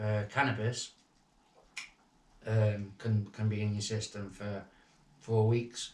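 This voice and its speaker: Somewhat breathy and fairly low-pitched, a man talks at a fairly slow pace in a monotone, flat intonation. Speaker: former prison inmate. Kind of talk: podcast interview. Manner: halting.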